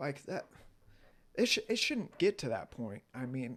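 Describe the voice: The man's tone is fairly bright, with big pitch swings. He talks at a fairly slow pace. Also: medium pitch for a man.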